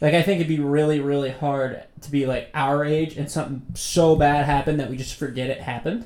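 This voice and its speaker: A man with an ordinary speaking voice and a fairly high pitch talks at a fairly quick pace, with hardly any pauses and fairly even intonation. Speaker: podcast host. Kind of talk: casual banter.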